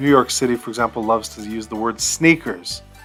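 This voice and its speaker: Music plays in the background. A man with an American accent speaks at a medium pitch. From Utah, United States. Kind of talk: casual, conversational.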